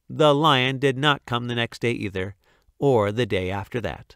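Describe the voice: Plain reading aloud against a quiet background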